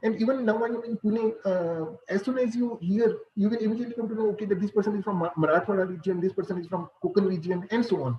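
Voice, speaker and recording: Very fast speech in a Punjabi accent, with ordinary pitch variation and hardly any pauses. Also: man, high pitch for a man. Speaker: computer science professor. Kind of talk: lecture. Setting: video call. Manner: halting, many fillers.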